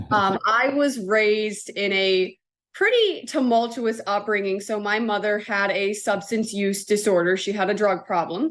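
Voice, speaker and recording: A woman with an American accent in a normal speaking voice, medium in pitch, at a fairly slow pace with fairly even intonation. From US Northeast, Connecticut. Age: 20s. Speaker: chaplain and consultant. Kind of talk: podcast interview.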